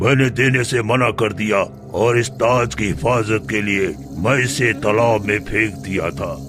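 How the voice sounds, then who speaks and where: A man puts on a cartoonish character voice at medium pitch. Loud music plays in the background. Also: moderate pace. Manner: commanding, grand.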